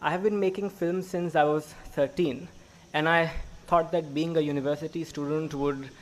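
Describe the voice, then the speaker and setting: His intonation fairly even, a man talks at a moderate pace. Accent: Gujarati. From Gujarat, India. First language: Gujarati. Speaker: graduating student. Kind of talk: speech. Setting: stage with audience.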